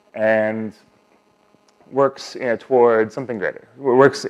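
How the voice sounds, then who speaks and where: Here a man talks in a medium pitch. His intonation is monotone and flat. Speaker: software engineer, conference speaker. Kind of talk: conference talk. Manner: fast.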